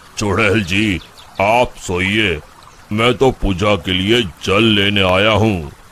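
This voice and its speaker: A man puts on a cartoonish character voice, fairly low in pitch, with fairly even intonation. He speaks at a very slow pace, and his loudness stays very even. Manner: calm, measured.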